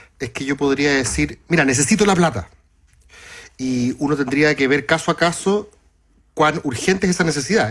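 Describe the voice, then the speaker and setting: A man speaks with a Chilean accent at a fairly quick pace. His pitch is fairly high, with ordinary variation. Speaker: radio panelist. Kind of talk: panel discussion.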